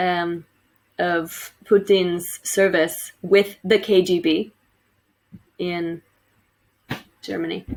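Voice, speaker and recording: A woman in an American accent, fairly low-pitched and monotone, with flat intonation, a very slow pace, and long, frequent pauses. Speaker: teacher. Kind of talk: recorded lecture for students. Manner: casual, with fillers.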